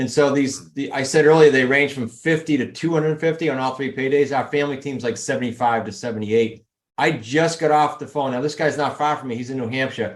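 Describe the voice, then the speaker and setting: Talking at a very fast pace, a man with a New England accent holds a fairly high pitch and fairly even intonation. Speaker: real estate investing coach. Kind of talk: podcast interview.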